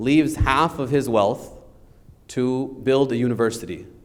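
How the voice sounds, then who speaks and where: A man at medium pitch, ordinary pitch variation, audible room echo. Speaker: lawyer teaching estate planning. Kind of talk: lecture. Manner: loud.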